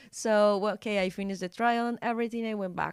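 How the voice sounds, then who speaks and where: Medium-pitched woman's voice with a Spanish accent, monotone and flat, at a moderate pace, dry and close with no echo in a very clean recording with a silent background. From Colombia. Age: 20s. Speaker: model and journalist. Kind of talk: casual interview chat. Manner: halting.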